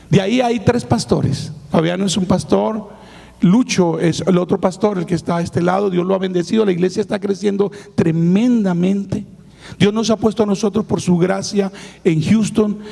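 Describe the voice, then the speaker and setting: A man's high-pitched voice at a moderate pace, ordinary pitch variation, noticeable background noise behind it. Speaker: pastor. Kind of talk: sermon. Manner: animated.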